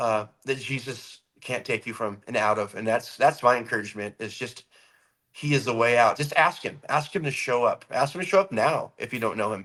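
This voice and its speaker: Loud and bright with a sharp tone, a man speaks in an American accent at a medium pitch and moderate pace. His pitch variation is ordinary, and the recording is very clean with a silent background. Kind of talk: casual chat. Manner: animated.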